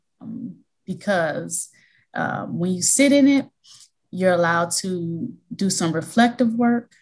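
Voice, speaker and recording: A woman with an American accent speaks at a very slow pace, with long, frequent pauses. Her medium-pitched voice is somewhat breathy, and her intonation is lively. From US Midwest, Milwaukee, Wisconsin. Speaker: college financial aid administrator and education consultant. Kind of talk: interview.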